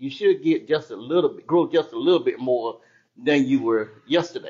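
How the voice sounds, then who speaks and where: A man at a moderate pace, with big swings in loudness. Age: 60s. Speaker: church member. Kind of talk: casual comment in class. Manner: halting.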